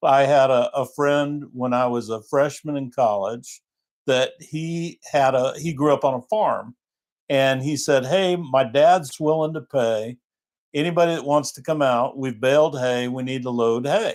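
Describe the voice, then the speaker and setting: In a plain, everyday voice, a man speaks at a fairly slow pace, his pitch fairly high with ordinary variation. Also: very clean recording, silent background. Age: 60s. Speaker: livestream co-host. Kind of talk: casual live chat.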